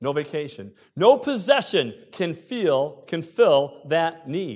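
At a very slow pace, a man with an American accent and a fairly high pitch makes very wide pitch swings in a very clean recording with a silent background. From United States. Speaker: pastor. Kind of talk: sermon. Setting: church.

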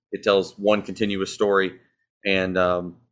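Speaking in a Southern US accent, a man with a very deep, low pitch keeps a monotone, flat intonation on a very clean recording with a silent background. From US South. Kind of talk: interview.

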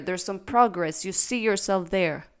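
A woman's unremarkable speaking voice at a medium pitch with ordinary pitch variation, in a very clean recording with a silent background. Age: 20s. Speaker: podcast host, former lawyer. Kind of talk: casual monologue. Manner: unedited, with fillers.

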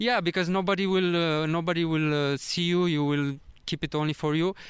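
Recorded very cleanly with a silent background, a man with a Romanian accent speaks at a high pitch with fairly even intonation. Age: 30s. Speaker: travel vlogger. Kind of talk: casual interview. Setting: in person in Vietnam. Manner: halting.

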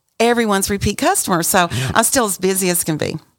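Over music in the background, a woman with an American accent talks at a very fast pace. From West Texas, Amarillo. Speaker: caterer. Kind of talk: casual chat.

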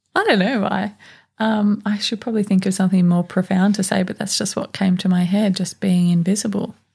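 With an Australian accent, a woman speaks at medium pitch and a fairly quick pace, her somewhat breathy voice relaxed in tone and monotone, flat in intonation. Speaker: podcast co-host. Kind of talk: casual chat. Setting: studio.

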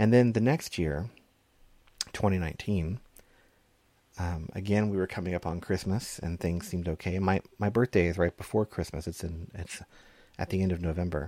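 A man's very deep, low voice with a dark, mellow tone, long, frequent pauses and a dry, close sound with no echo. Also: ordinary pitch variation, moderate pace. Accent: Texan. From Texas. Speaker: pastor. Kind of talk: sermon. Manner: halting.

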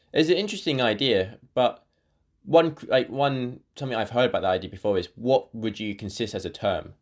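A man talks at a moderate pace with a British accent and ordinary pitch variation. The recording is very clean, with a silent background. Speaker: podcast host. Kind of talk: educational panel discussion.

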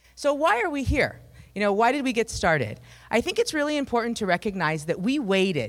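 A woman with an American accent and vocal fry. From Minnesota. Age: 40s. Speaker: company CEO. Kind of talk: pitch presentation. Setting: stage with audience.

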